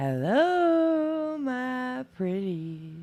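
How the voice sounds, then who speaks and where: A female-sounding voice does a put-on character voice, high in pitch. Its pitch swings very widely. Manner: cackly, wicked.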